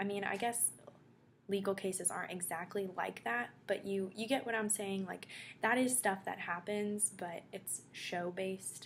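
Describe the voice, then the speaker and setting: Here a woman talks at a moderate pace in a medium pitch with ordinary pitch variation. Her voice is somewhat breathy. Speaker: vlogger. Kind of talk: casual vlog. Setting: dorm room.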